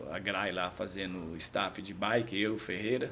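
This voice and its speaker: Moderate pace and fairly even intonation, with room echo clearly audible. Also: man. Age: 50s. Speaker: amateur triathlete and shop owner. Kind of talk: casual chat. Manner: halting.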